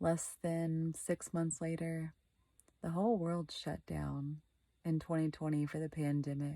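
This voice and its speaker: Soft-spoken and slow-ish in pace, a woman with a fairly low pitch and a dark, mellow tone talks in a monotone, flat intonation over a very clean recording with a silent background. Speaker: vlogger. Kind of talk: personal vlog monologue. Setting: in bed, dark bedroom. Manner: quiet, soft-spoken.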